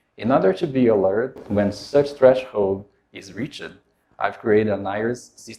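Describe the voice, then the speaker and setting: With a Portuguese accent, a man speaks at a moderate pace in a fairly low pitch, his tone dark and mellow with ordinary pitch variation. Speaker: software developer. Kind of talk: tech demo presentation.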